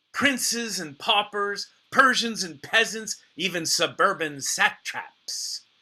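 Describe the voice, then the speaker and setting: A man speaks in a raised, projected voice with a bright, sharp tone. His delivery is playful and very slow. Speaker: actor and storyteller. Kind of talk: solo storytelling performance. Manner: playful, comic.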